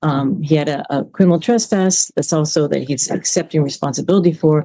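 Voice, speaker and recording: Her tone dark and mellow, a woman speaks at a fairly quick pace. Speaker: defense attorney. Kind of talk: courtroom plea for mercy. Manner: hesitant, many fillers.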